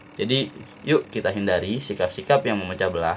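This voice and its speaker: This is a man with a Jakarta accent. His pitch sits fairly low. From Jakarta, Indonesia. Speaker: university student. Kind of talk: student presentation. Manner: casual; halting.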